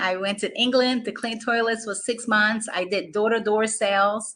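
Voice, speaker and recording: A woman with a Brazilian Portuguese accent, fairly high-pitched, with a bright, sharp tone, ordinary pitch variation and a moderate pace. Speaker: business coach. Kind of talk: motivational talk.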